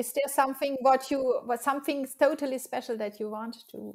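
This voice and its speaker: Over a quiet background, a woman with a high pitch talks at a moderate pace with fairly even intonation. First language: French. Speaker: interviewer. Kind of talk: interview; scripted introduction. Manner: halting. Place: home room. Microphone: webcam.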